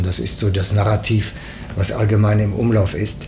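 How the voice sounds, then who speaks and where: Over noticeable background noise, a man talks at a fairly slow pace. His pitch is fairly low and his intonation fairly even. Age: 70s. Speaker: former TV news editor and foreign correspondent. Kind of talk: interview. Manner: halting, frequent fillers.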